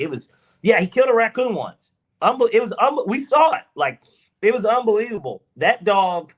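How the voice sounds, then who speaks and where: Speaking with a Southern accent, a man talks at a fairly quick pace in an animated tone and high pitch. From US South, Georgia. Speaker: podcast co-host. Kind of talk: casual chat.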